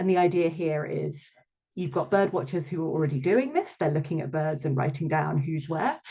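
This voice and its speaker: A woman with a British accent, a very deep, low pitch, a somewhat breathy sound and ordinary pitch variation. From London, England. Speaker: researcher and mentor giving a talk. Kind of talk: online presentation. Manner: hesitant, many filler ums.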